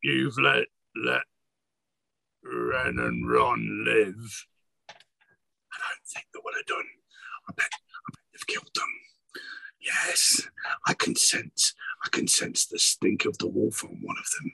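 Very slowly and with long, frequent pauses, a man puts on a raspy character voice. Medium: actual play. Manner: menacing, gloating, heads talk over each other.

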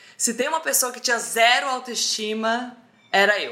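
A woman speaks in an animated tone. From Brazil, Roraima (Boa Vista). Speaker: social media humorist. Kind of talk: casual chat.

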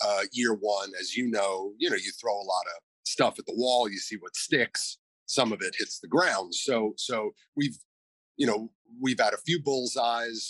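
A man with an American accent talks at a fairly slow pace in a medium pitch, with ordinary pitch variation. It's an ordinary speaking voice, with a dry, close sound with no echo. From New York City (Manhattan). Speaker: store owner. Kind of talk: interview.

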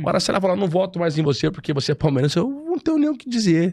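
This man talks at a very fast pace. His pitch swings very widely. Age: 30s. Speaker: federal deputy, politician. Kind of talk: casual chat.

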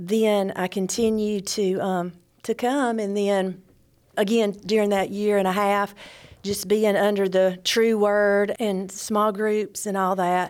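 In an Alabama accent, a woman speaks very slowly at medium pitch in a flat monotone. The recording is very clean, with a silent background. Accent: US Southern (Alabama). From northwest Alabama, Cherokee area. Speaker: church member. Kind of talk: testimony.

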